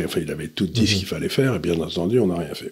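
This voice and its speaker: Over noticeable background noise, a man with a very deep, low voice speaks at a very fast pace. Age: old. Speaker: economic commentator. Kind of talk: casual discussion.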